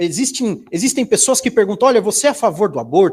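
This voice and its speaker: Very clean recording of a man against a silent background. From Brazil, São José dos Campos (São Paulo state). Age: 20s. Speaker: professor and conservative speaker. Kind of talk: seminar talk. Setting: stage with audience. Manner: many filler hesitations.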